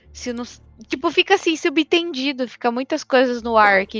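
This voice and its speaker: A woman's high voice at a fairly quick pace, lively in intonation, dry and close with no echo, over background music. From Brazil. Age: 20s. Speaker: podcast co-host. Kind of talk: casual chat.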